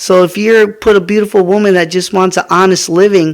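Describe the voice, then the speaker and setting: At a moderate pace, a man speaks in a high pitch with an American accent. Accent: American English, Mexican American. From US, Mexican American. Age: 30s. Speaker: podcast host. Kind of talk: opinion monologue. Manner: animated.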